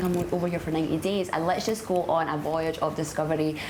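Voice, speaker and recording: With a Scottish accent, a woman speaks at a fairly low pitch amid noticeable background noise and audible room echo. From Scotland. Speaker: traveller in a love story. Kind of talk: casual interview. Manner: chatty, many fillers.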